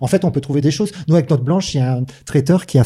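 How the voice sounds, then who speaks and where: This man's voice has a dark, mellow tone, a somewhat breathy quality, and ordinary pitch variation. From southern France, Manosque. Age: 50s. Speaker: microbrewer. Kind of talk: casual chat.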